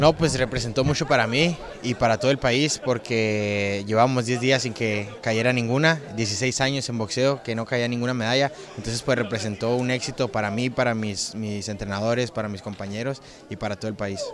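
Dry with no echo, a man's voice holds a moderate pace and fairly even intonation over noticeable background noise. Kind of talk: interview answer. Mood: proud, pleased. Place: hall. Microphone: handheld.

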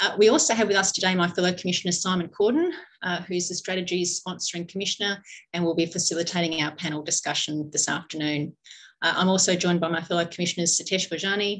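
A woman talks at a very fast pace in a fairly low voice with fairly even intonation. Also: quiet background. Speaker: forum host. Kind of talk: formal welcome and introductions. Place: meeting room. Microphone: video call.

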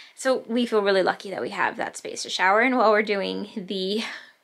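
In a bright, sharp tone, a woman talks at a fairly quick pace against a quiet background. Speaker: homesteading vlogger. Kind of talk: casual vlog chat. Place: home room. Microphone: phone near.

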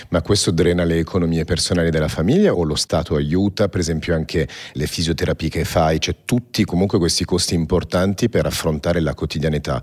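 The speech moves at a fairly quick pace with fairly even intonation. The background is quiet. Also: man, very deep, low pitch for a man. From born in Paris. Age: 40s. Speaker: podcast host, entrepreneur; podcast host. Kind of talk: interview. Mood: calm, earnest. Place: studio. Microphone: studio mic.

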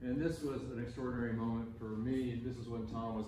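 A man talks at a very fast pace with monotone, flat intonation. Audible room echo and noticeable background noise surround him. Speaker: conference presenter. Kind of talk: memorial talk with slides. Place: hall.

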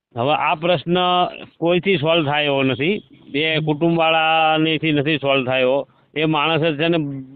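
In an ordinary speaking voice, a man holds a fairly high pitch with fairly even intonation and very even loudness. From Gujarat, Saurashtra (village near Sayla). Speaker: caller. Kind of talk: phone-in discussion. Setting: phone call.

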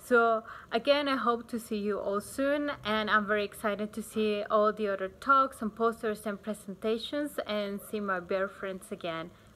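With a Spanish accent, a woman talks at a moderate pace in a bright, sharp, fairly high voice, with ordinary pitch variation and hardly any pauses. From Bolivia. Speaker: wildlife researcher. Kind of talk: research talk preview to camera. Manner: frequent hesitations (uh, um). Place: garden. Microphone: phone near.

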